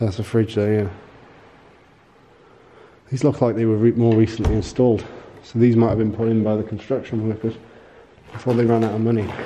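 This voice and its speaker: A man's flat, monotone delivery at a fairly quick pace, with light background noise. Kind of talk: casual vlog commentary. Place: hall. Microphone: phone near.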